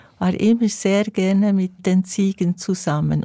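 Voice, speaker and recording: Recorded very cleanly against a silent background, a woman speaks at a very slow pace in a medium pitch with a dark, mellow tone and a dry, close sound with no echo. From Switzerland, Bernese Emmental. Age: 70s. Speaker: singer. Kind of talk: interview.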